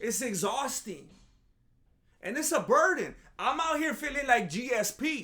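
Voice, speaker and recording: With an extremely high pitch, a man uses a raised, projected voice with a bright, sharp tone and an animated tone. His intonation is lively, but he speaks at a fairly slow pace with long, frequent pauses. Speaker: MMA commentary youtuber. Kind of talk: comedic commentary monologue.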